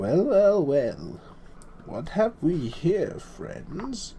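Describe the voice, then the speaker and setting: Over clear background noise, a man puts on a character voice with a high pitch and a very slow pace. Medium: read story. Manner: rambling, excitable.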